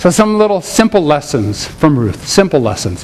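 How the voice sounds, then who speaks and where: A man with a high-pitched voice swings very widely in pitch, heard with audible room echo and noticeable background noise. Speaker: preacher. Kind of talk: sermon. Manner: animated.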